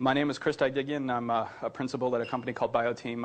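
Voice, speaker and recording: Very fast in pace, a man speaks at a medium pitch. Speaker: IT consultant and conference speaker. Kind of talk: conference talk. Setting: conference room with audience.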